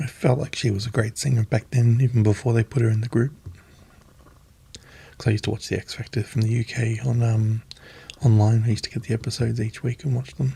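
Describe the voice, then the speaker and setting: Soft-spoken and somewhat breathy, a man talks very fast with an Australian accent, a medium pitch, and a dark, mellow tone. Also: fairly even intonation. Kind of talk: ASMR magazine reading.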